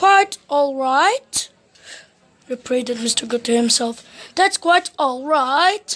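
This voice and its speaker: Using a put-on character voice, a woman speaks high and at a fairly slow pace with lively intonation. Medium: read story. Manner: polite, earnest.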